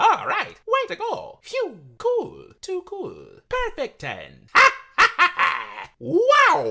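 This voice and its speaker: This man speaks at an extremely high pitch and a very slow pace. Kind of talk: video game character impression. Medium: voice reel. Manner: bouncy, exuberant, cheery.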